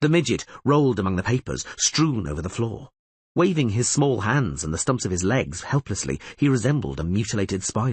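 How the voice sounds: This is a natural reading voice with lively intonation, heard against a quiet background.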